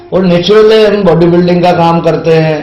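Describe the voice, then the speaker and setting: Music plays in the background while a man talks at a moderate pace with ordinary pitch variation. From Ujjain, India. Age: 60s. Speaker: teacher and stage anchor. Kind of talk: podcast interview answer.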